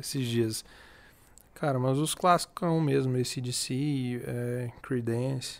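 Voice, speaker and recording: A man's medium-pitched voice, very slow in pace, with fairly even intonation. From Tocantins, Brazil. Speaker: music startup founder, former sertanejo singer. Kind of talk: casual chat.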